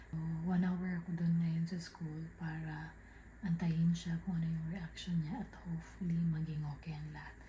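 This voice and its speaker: The voice is soft-spoken, with music playing in the background. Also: moderate pace. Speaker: family vlogger. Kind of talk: casual vlog narration. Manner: soft-spoken, quiet because child asleep.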